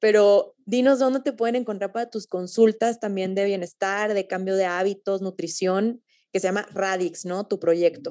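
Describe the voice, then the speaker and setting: A woman's dark, mellow voice at medium pitch moves at a fairly slow pace with fairly even intonation, recorded very cleanly over a silent background. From Mexico, Torreón. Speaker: podcast host. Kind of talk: casual interview.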